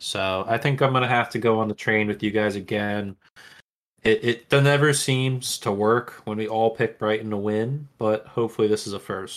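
Here a man has an unremarkable speaking voice at medium pitch. He keeps a moderate pace and fairly even intonation. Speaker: podcast co-host. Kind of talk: casual chat.

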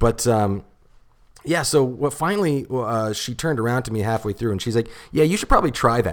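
An unremarkable speaking voice from a man with a Canadian accent, medium in pitch, at a fairly quick pace with lively intonation, on a very clean recording over a silent background. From Ontario, Canada (St. Catharines). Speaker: stand-up comedian. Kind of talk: casual chat. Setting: studio.

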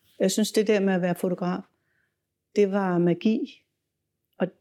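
On a very clean recording with a silent background, a woman with a dark, mellow tone and medium pitch speaks at a moderate pace with fairly even intonation and long, frequent pauses. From Denmark, inner Copenhagen. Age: 70s. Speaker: music photographer. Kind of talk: interview storytelling.

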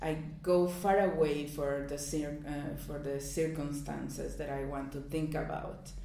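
Speaking fairly slowly in a monotone, flat delivery with a Mexican accent, the voice comes through over noticeable background noise. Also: woman, very deep, low pitch for a woman. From Mexico. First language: Spanish. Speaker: poet. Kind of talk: interview.

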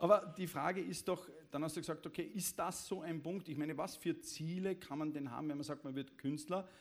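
A man talks at a fairly quick pace in a fairly high pitch. His is an ordinary speaking voice with fairly even intonation. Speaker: event moderator. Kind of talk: formal introduction; public stage conversation. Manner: formal.

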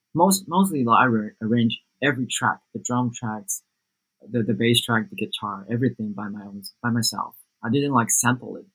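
A man with a Taiwanese accent speaks with lively intonation and big swings in loudness, recorded in a dry, close space with no echo. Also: medium pitch for a man, moderate pace. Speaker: music producer. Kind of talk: interview.

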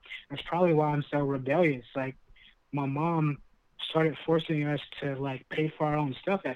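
A man with an American accent talks at a moderate pace, his fairly high pitch held to a fairly even intonation. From Lancaster, California. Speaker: entrepreneur. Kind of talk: casual chat.

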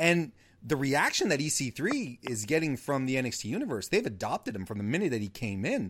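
Very wide pitch swings from a man at medium pitch with a Canadian accent, moderate pace, very clean recording and silent background. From Canada. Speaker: wrestling podcast host. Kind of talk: casual chat. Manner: halting, repeats words.

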